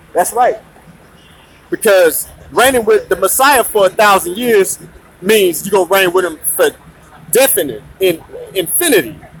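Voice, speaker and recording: A man with a high pitch talks at a moderate pace in an animated tone, with ordinary pitch variation. He leaves long, frequent pauses over noticeable background noise. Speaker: religious teacher. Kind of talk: sermon. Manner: loud.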